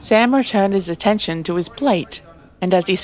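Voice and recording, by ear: Pitch moves in an ordinary way. This is reading aloud in a natural voice.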